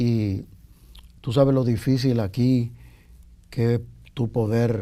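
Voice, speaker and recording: A man's dark, mellow voice at medium pitch, with a Dominican accent, monotone, flat intonation and a very slow pace. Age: 60s. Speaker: singer-songwriter and backing vocalist. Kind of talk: interview. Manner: halting.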